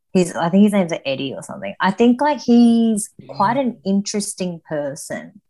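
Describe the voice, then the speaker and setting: The voice is somewhat breathy, with a dark, mellow tone and lively intonation. It moves at a moderate pace with hardly any pauses. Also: woman, medium pitch for a woman. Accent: Australian. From Sydney, Australia. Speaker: powerlifter and personal trainer. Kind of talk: casual chat.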